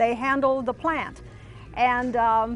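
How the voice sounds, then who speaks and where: A woman's high voice with an American accent at a fairly slow pace, music in the background. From US Midwest, southern Missouri then Michigan. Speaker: interviewee recalling wartime childhood. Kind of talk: oral history testimony. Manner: hesitant, many fillers.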